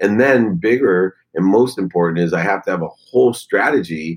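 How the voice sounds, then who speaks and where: A man has an unremarkable speaking voice, a fairly low pitch, lively intonation and a moderate pace. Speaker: business coach and public speaker. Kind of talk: interview.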